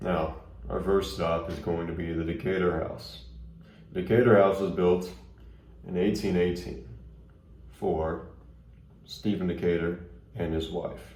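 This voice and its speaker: This man speaks at a very deep, low pitch with vocal fry and ordinary pitch variation. His pace is fairly slow, broken by long, frequent pauses. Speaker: ghost tour guide. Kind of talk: ghost tour narration audition.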